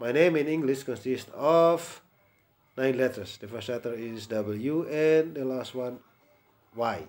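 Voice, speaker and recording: Speaking very slowly, a man with a medium pitch shows ordinary pitch variation and big swings in loudness. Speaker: English tutor. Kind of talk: private language lesson.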